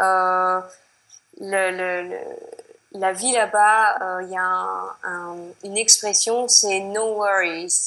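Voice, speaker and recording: Very slow, monotone speech from a woman with a French accent, medium pitch, flat intonation, big swings in loudness and long, frequent pauses. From France. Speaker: expatriate. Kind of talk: interview. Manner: hesitant, many fillers.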